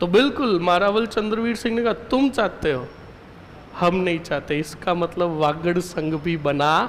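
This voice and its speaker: A man's high voice with ordinary pitch variation amid noticeable background noise. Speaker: history teacher. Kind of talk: lecture. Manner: stern, scolding tone.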